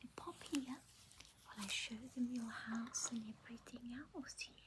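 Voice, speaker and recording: Soft-spoken and gentle in tone, a woman talks at a very slow pace in a high pitch while noticeable background noise runs behind her. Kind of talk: ASMR show and tell, relaxing toy review. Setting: home, close-mic ASMR. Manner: soft-spoken, gentle, slow.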